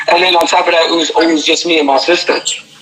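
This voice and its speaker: Speaking with a New York accent, a man has a fairly high pitch. Audible room echo and noticeable background noise fill the recording. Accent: New York City. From New York City (Harlem). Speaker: pro wrestler and dancer. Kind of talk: interview. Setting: live stream. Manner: loud.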